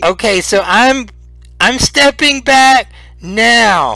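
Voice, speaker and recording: A man puts on a character voice in an extremely high pitch, speaking at a very slow pace. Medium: actual play.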